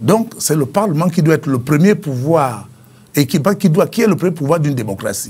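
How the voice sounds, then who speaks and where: A man with a dark, mellow tone and fairly high pitch talks at a moderate pace with lively intonation. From northern Gabon, Oyem; Gabon. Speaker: former politician and author; former politician. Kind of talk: interview. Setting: studio. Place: studio.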